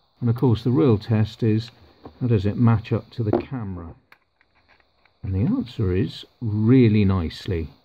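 A man speaks at a moderate pace in a fairly low pitch. His voice has ordinary pitch variation and a slightly husky edge.

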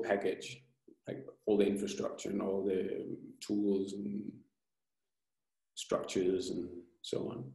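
The slow speech has a slightly mellow tone and vocal fry, with audible room echo. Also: man.

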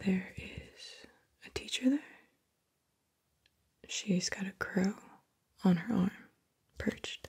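Against a quiet background, a soft-spoken woman talks. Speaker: session guide. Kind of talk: guided session narration, soft and calm. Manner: soft-spoken, hushed and slow. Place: home room. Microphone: studio mic.

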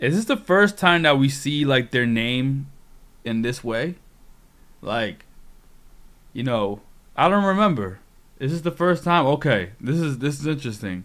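A man at a fairly slow pace, with long, frequent pauses and very wide pitch swings. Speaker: streamer. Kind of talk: live stream manga reading commentary. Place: home room. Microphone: studio mic.

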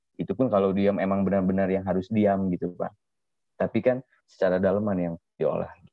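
A man's fairly low voice, dry with no echo, over a quiet background. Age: 20s. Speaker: artist; guest. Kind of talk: interview. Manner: hesitant, many fillers. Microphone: video call.

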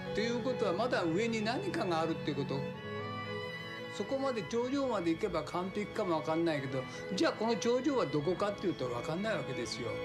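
A man talks at a very fast pace. Clear music is audible behind him. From Japan. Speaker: sushi chef. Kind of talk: documentary interview answer. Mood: calm, reflective. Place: cafe.

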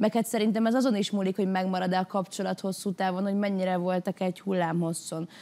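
A woman with a dark, mellow tone talks very fast with hardly any pauses, fairly even intonation, and very even loudness. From Hungary. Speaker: singer, talent show contestant; talk show guest. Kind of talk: studio talk show discussion; interview answer. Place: studio. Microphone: lapel.

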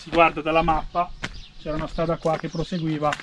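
Noticeable background noise sits behind a man whose voice is high in pitch. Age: 30s. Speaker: travel vlogger. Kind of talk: casual vlog narration; vlog rant. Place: waterside. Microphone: camera far.

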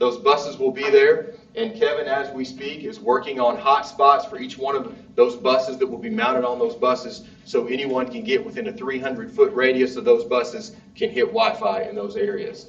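A man's high voice rises and falls in very wide pitch swings, with big swings in loudness. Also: moderate pace. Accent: Southern US. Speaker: school district official. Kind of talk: public meeting presentation.

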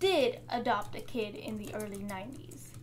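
A woman talks at a fairly slow pace. There is light background noise. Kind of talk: opinion commentary. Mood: wry, skeptical. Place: home room.

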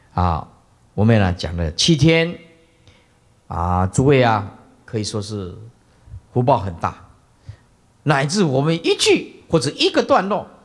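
A man with a Taiwanese accent speaks at a medium pitch and a fairly slow pace, with vocal fry and very wide pitch swings. He takes long, frequent pauses against a quiet background. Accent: Taiwanese Mandarin. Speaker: Buddhist monk teacher. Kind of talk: dharma lecture. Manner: many filler interjections. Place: hall. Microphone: podium.

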